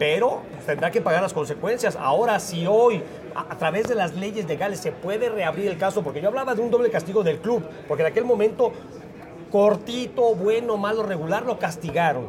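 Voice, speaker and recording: Over crowd noise and audible room echo, a man with a Mexican accent talks at a fairly quick pace in a high pitch, with ordinary pitch variation. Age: 50s. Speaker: former footballer and sports commentator. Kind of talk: casual chat.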